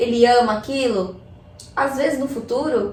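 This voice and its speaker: Speech at a fairly slow pace with fairly even intonation comes through audible room echo and noticeable background noise. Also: woman. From Chile, raised in Brazil from age 6. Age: 20s. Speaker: artist and hip hop MC. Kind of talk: casual chat.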